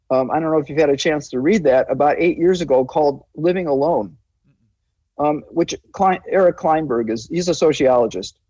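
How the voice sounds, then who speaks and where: A man with an American accent speaks at a moderate pace in a dark, mellow tone, his pitch fairly high for a man with ordinary variation, over a quiet background. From Chicago, US Midwest. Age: 70s. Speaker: public health physician. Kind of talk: interview.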